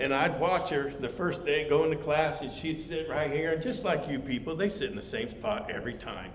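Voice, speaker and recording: Against noticeable background noise, a man speaks in a fairly high pitch. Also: ordinary pitch variation, hardly any pauses. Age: 70s. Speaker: Bible study teacher. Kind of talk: Bible study lesson with personal stories. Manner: halting, many fillers.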